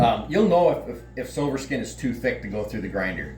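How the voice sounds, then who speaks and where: Noticeable background noise surrounds a man's voice. There is audible room echo as well. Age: 50s. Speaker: butcher and hunter. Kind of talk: tutorial. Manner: halting, many fillers.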